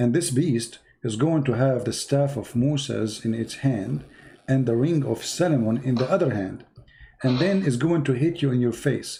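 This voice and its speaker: Somewhat breathy with a dark, mellow tone, a man with an Arabic accent speaks at a moderate pace. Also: medium pitch for a man, ordinary pitch variation. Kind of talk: heated debate. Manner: animated.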